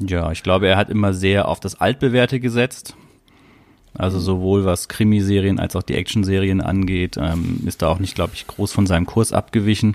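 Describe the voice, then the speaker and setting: This man's pitch is very deep and low. He keeps a moderate pace. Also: fairly even intonation. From southern Germany. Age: 30s. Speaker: podcast host. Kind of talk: casual chat. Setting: remote call.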